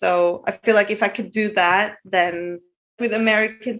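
A speaker with a Norwegian accent talks with ordinary pitch variation. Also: woman. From Norway. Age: 40s. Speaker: caller. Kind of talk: casual chat.

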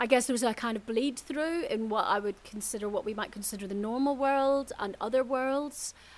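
Speaking in a Northern Irish accent, a woman keeps a moderate pace with ordinary pitch variation. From Northern Ireland, Belfast. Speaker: spiritual teacher. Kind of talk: casual chat. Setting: eco hotel in the jungle, Mexico.

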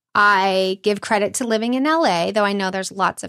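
On a very clean recording with a silent background and a dry, close sound with no echo, a woman speaks at a moderate pace and medium pitch in an unremarkable speaking voice. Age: 40s. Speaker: storytelling show producer. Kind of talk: interview conversation.

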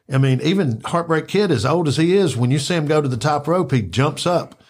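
A man talks at a moderate pace with ordinary pitch variation and a somewhat breathy sound. The recording is very clean, the background silent. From Memphis, Tennessee (Orange Mound). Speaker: wrestling podcaster. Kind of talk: casual chat.

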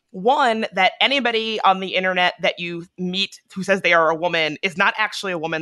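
Recorded dry and close with no echo over a quiet background, a woman with an American accent speaks at a medium pitch in a bright, sharp tone with ordinary pitch variation. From Virginia, US. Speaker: podcaster and digital activist. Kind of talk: interview conversation.

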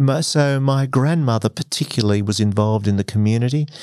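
A man with an Australian accent at a fairly quick pace, ordinary pitch variation, and a quiet background. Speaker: former broadcaster and executive. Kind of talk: interview conversation.

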